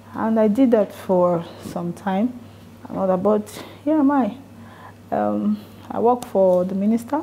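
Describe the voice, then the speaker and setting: Soft-spoken and pausing often and at length, a woman talks at a fairly slow pace and medium pitch with ordinary pitch variation over noticeable background noise. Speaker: lawyer, NGO founder. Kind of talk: motivational talk to an audience.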